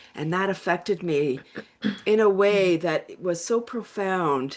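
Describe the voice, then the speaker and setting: A woman speaks at a fairly slow pace. Her voice is fairly low, with ordinary pitch variation. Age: 60s. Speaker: laughter and wellness coach. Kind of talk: interview. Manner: animated.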